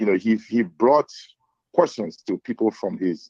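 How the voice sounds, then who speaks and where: With a Liberian accent, a man talks using lively intonation. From Liberia, Lofa County. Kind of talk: casual political discussion.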